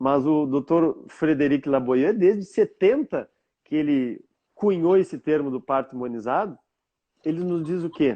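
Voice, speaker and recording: A man talks at a moderate pace with lively intonation and a fairly high pitch. He has a plain, everyday voice. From southern Brazil, Rio Grande do Sul (Bagé). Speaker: self-knowledge therapist. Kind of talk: live-stream conversation. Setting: live stream.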